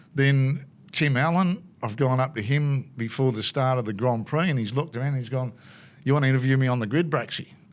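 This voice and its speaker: Fairly quick speech from a man at medium pitch, in a very clean recording with a silent background. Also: ordinary pitch variation. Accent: Australian. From Australia. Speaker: motorsport commentator. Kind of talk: casual chat. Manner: animated.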